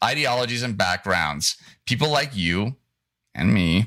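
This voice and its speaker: A man speaks at a moderate pace with vocal fry and a bright, sharp tone. The recording is very clean, with a silent background. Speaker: show host and producer. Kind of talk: production meeting, rehearsing a script. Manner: halting, many restarts.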